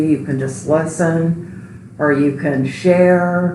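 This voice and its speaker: The woman's pitch is very deep and low. Her speech carries audible room echo. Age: 60s. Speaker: registered nurse, support group member. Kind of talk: interview testimony.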